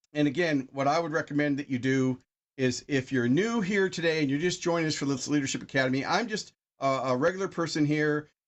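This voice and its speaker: Here a man talks at a fairly quick pace in a fairly high pitch. His pitch variation is ordinary. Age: 60s. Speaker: product user sharing testimonial. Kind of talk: product presentation on livestream. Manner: halting.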